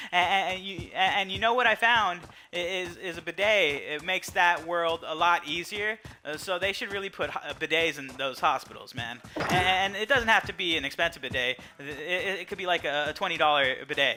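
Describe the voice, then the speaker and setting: A man's high voice at a moderate pace with ordinary pitch variation and hardly any pauses, set against music in the background. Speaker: stroke survivor. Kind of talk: personal testimony. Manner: halting.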